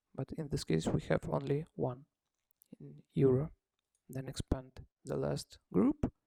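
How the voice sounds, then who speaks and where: Fairly slow speech in a non-native accent, broken by long, frequent pauses. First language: not English. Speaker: software developer demonstrating own app. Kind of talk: tutorial. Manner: halting, many fillers.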